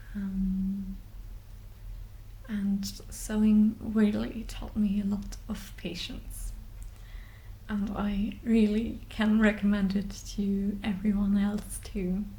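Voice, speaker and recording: A woman's medium-pitched, somewhat breathy voice with a dark, mellow tone, flat and monotone, at a very slow pace with long, frequent pauses and audible room echo. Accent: German. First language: German. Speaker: sewing vlogger. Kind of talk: unscripted vlog talk. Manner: halting, many fillers.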